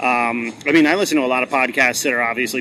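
A man talks at a very fast pace, his medium pitch held to fairly even intonation. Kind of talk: casual interview chat. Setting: conference event interview.

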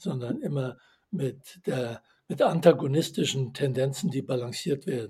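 With a dark, mellow tone that is somewhat breathy, the voice moves at a moderate pace with lively intonation. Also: man. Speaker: author and systems theorist. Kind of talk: interview.

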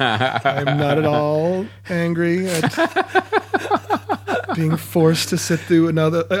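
Lively intonation over noticeable background noise. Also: man. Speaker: podcast guest, comedian. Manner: sarcastic.

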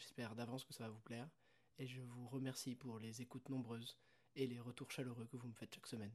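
Very fast speech from a man at medium pitch. His intonation is flat and monotone. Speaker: podcast host. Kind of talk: personal monologue.

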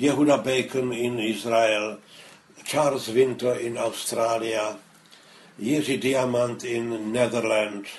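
A man at medium pitch with flat, monotone intonation, plus noticeable background noise. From Czech Republic, Prague. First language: Czech. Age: 80s+. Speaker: Holocaust survivor. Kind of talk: interview, testimony. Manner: halting, many fillers.

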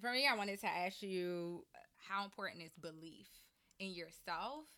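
A woman with a Maryland accent talks at a fairly slow pace in a bright, sharp tone. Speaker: podcast host. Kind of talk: casual interview chat. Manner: animated.

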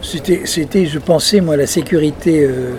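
A man talks with ordinary pitch variation. Noticeable background noise runs under his voice. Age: 70s. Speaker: retired magazine publisher, former singer. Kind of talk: interview. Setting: restaurant terrace by the beach, windy.

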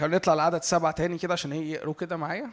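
This is a man speaking. He has an Egyptian accent. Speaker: preacher. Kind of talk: sermon. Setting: church with audience.

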